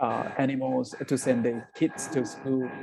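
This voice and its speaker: A man with a Southeast Asian accent speaks at a medium pitch and a fairly slow pace. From northern Thailand, Akha hill village. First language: Akha. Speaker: social entrepreneur, coffee business founder. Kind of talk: interview on webinar. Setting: video call webinar. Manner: halting, many repeated words.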